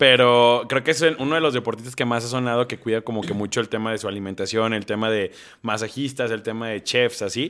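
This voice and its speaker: Speaking in a normal speaking voice, a man goes at a fairly quick pace with medium pitch. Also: fairly even intonation. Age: 30s. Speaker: podcast co-host. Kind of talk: casual chat.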